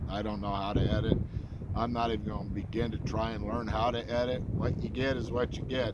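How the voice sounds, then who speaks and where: Noticeable background noise and audible room echo surround the speaker. He is a man with a fairly low pitch and ordinary pitch variation. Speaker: bigfoot researcher vlogger. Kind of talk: casual vlog monologue. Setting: outdoors at a campsite. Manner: loud; halting, many fillers.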